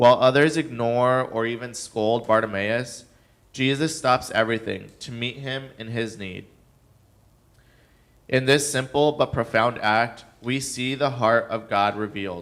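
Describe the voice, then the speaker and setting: On a very clean recording with a silent background, a man with a normal speaking voice talks at a fairly slow pace at medium pitch, his fairly even intonation paired with big swings in loudness. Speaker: guest preacher; nonprofit director. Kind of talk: church sermon.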